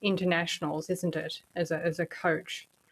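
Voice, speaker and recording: A woman with an Australian accent speaks in a monotone, with flat intonation. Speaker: podcast host. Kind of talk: interview.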